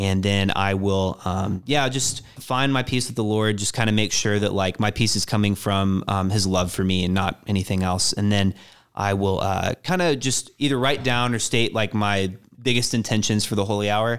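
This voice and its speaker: An ordinary speaking voice from a man with an American accent, fairly low in pitch, with fairly even intonation at a moderate pace. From Texas, Austin area. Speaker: campus missionary. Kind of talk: radio interview.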